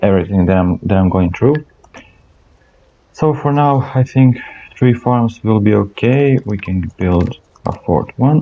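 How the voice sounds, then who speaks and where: A man's voice at medium pitch with a dark, mellow tone and a non-native accent, at a fairly slow pace with long, frequent pauses. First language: not English. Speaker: gaming channel host. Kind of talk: gameplay commentary. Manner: halting, many fillers and repetitions.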